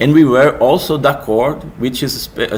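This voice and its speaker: A man with a Portuguese accent at a fairly slow pace, with audible room echo and noticeable background noise. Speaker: music technology researcher and game developer. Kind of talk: conference presentation. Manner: halting, many false starts.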